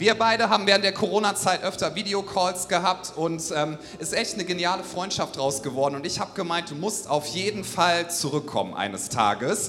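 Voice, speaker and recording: An enthusiastic, upbeat voice at a fairly quick pace with hardly any pauses, ordinary pitch variation and noticeable background noise. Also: man, high pitch for a man. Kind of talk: stage introduction of a guest, warm and enthusiastic.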